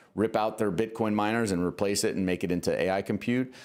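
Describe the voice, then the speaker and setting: Over noticeable background noise, a man with a fairly low pitch talks at a fairly quick pace. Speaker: investment show host. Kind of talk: casual chat. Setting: studio. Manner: fast; animated.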